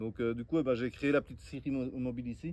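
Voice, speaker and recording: A man's voice sits at a medium pitch, dark and mellow in tone, moving along at a moderate pace. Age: 30s. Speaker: woodworking and permaculture vlogger. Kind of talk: casual outdoor tutorial vlog. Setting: outdoors. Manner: hesitant, many fillers.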